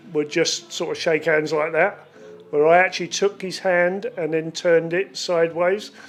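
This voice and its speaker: A woman talks at a fairly slow pace in a fairly low pitch, with music playing in the background. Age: 60s. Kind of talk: memorial tribute.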